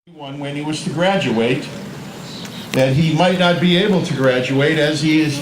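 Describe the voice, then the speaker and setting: Against noticeable background noise, a man with a fairly high pitch talks at a moderate pace using ordinary pitch variation. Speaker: mayor. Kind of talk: ceremony speech introduction.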